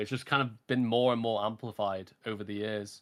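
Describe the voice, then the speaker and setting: A man speaks at a moderate pace in a medium pitch, with a British accent and monotone, flat intonation. The recording is very clean, with a silent background. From UK. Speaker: streamer. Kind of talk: casual chat.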